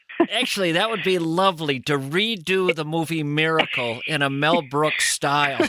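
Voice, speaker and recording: With a Minnesota accent, a man speaks at a fairly high pitch amid noticeable background noise. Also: ordinary pitch variation, moderate pace, hardly any pauses. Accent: Midwestern Minnesota twang. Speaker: radio host. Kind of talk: casual chat.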